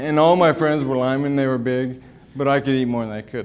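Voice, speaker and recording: Mumbling at a moderate pace, a man talks at a fairly high pitch with fairly even intonation. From US West (moved from Wyoming at ten). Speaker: financial advisor and MS patient speaker. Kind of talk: talk to a patient group. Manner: casual, halting.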